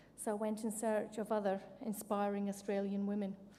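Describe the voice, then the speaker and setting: Speaking at a fairly quick pace with a Scottish accent, a woman uses a medium pitch, a dark, mellow tone and monotone, flat intonation. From Scotland. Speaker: military officer, award winner. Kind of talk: award acceptance speech.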